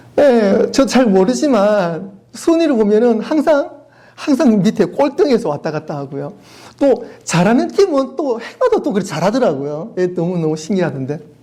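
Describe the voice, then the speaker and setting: A man's high, animated voice in a Daegu accent, with very wide pitch swings and audible room echo. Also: moderate pace. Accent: Gyeongsang (Daegu) dialect, noticeable. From South Korea, Daegu. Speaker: pastor. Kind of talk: sermon.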